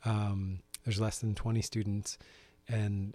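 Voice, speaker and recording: A man's fairly low, somewhat breathy voice on a very clean recording with a silent background. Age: 40s. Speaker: teacher and stay-at-home parent. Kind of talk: interview conversation. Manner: hesitant, many fillers.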